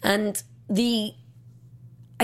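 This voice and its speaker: On a very clean recording with a silent background, a woman speaks with an English accent. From England. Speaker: film critic. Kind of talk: casual chat.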